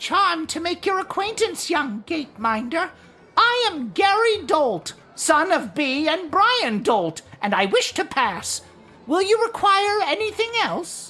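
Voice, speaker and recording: A put-on character voice speaks at a fairly slow pace. Its pitch is extremely high and swings very widely. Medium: video game. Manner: formal, courteous.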